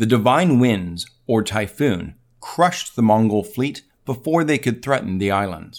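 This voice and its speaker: A man speaks in a dramatic tone with lively intonation at a medium pitch. His pace is fairly slow, and the recording is very clean with a silent background. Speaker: veterinary podcast host. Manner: measured, formal, dramatic storytelling pace; clear, deliberate delivery with wry, witty asides.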